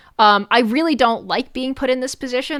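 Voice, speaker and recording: Lively intonation marks a woman's speech on a very clean recording with a silent background. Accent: American. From New York. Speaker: vtuber streamer. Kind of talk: casual live stream commentary. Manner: animated.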